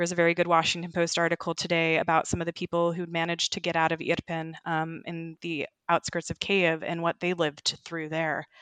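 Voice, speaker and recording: A woman with a General American accent talks at a fairly quick pace with hardly any pauses. Her pitch is fairly low, her intonation monotone and flat, and the sound dry and close with no echo. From US West, Sacramento, California. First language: Ukrainian. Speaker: journalist. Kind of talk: interview.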